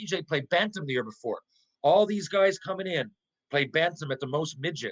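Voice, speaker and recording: A man's high-pitched, animated voice at a fairly quick pace, with ordinary pitch variation and a dry, close sound with no echo. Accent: Newfoundland. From Newfoundland, Canada. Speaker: former hockey player. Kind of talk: casual interview chat.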